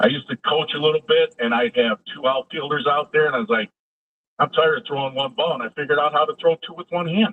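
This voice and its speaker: This is a normal speaking voice with lively intonation. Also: man. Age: 60s. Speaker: caller. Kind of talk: call-in radio show.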